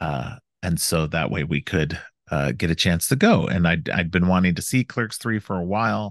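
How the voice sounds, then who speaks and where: Against a quiet background, a man with a very deep, low pitch and vocal fry speaks with lively intonation. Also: moderate pace. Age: 40s. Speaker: podcast host. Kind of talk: casual chat. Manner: halting, many fillers.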